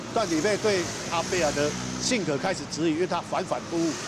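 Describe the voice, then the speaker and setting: Over noticeable background noise, a woman talks at a fairly quick pace in a dry sound with no echo. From Taiwan. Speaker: local politician. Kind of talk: interview. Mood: firm, critical. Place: street. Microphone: handheld.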